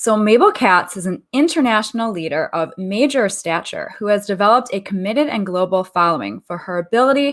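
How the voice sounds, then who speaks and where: An unremarkable speaking voice from a woman, medium in pitch, with lively intonation and a fairly quick pace. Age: 40s. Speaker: radio host. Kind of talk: radio interview.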